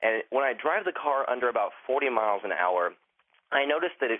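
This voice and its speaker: This man has a normal speaking voice and uses lively intonation. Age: 20s. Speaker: caller. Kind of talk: casual chat. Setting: phone call.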